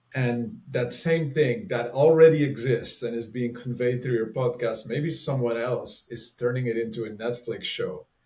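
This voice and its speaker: In a strong Flemish accent, a man speaks at a moderate pace with hardly any pauses. His medium-pitched voice keeps a fairly even intonation. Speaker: author and relating facilitator. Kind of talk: casual interview conversation.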